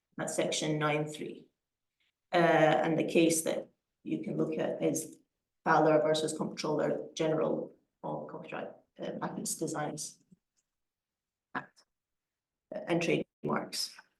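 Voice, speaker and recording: A woman talks at a fairly slow pace, leaving long, frequent pauses. Audible room echo fills the recording. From Scotland. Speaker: lawyer. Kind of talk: lecture. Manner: halting, many repetitions and fillers.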